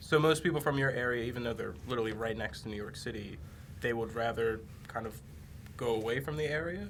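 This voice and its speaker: A man with an American accent talks at a very fast pace and medium pitch, with very wide pitch swings, amid noticeable background noise and audible room echo. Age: 20s. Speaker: camera crew member filling in as podcast host. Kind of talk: casual chat.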